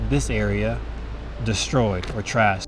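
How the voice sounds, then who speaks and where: A man with an American accent at a fairly slow pace, amid noticeable background noise and audible room echo. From Colorado. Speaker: wildlife biologist and comedian. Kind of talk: casual documentary interview.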